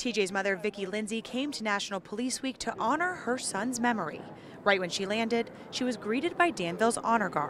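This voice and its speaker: Noticeable background noise surrounds a woman whose pitch is fairly high. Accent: American. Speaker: TV news reporter. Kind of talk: TV news reporting, standups and live shots.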